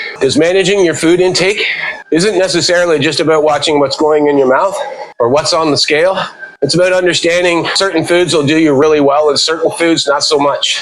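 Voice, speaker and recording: Noticeable background noise sits behind a man talking at a fairly quick pace. His pitch is high. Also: fairly even intonation, very even loudness. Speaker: fitness vlogger. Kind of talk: casual talk to camera while walking. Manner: slightly out of breath.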